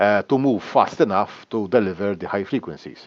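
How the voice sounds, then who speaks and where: A man is speaking. The background is quiet. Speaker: teacher. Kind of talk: lecture. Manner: halting.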